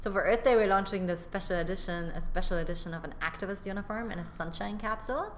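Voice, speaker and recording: Through noticeable background noise, a woman with a medium pitch rushes along at a very fast pace with hardly any pauses. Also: ordinary pitch variation. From Germany. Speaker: fashion entrepreneur. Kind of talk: casual interview.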